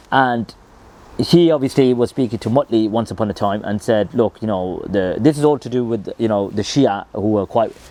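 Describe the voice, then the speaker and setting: A man with a Birmingham accent speaks at a medium pitch in a dark, mellow tone, with ordinary pitch variation. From England, Birmingham. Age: 30s. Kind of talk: personal story monologue. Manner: casual, many fillers.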